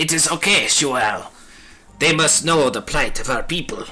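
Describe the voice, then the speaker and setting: A man performs in a put-on character voice. Faint music plays in the background. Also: fairly high pitch for a man, moderate pace. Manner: calm, reassuring.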